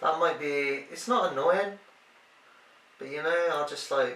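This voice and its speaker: Noticeable background noise and audible room echo surround the recording. A man speaks with a British accent. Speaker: boyfriend doing partner's makeup. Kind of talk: casual chat. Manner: loud.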